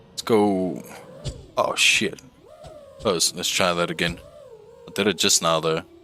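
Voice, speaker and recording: A man with a very deep, low pitch talks at a fairly slow pace with fairly even intonation. Long, frequent pauses break his speech, and background noise is noticeable. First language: Afrikaans. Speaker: gaming streamer. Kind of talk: casual gameplay livestream. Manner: casual, halting.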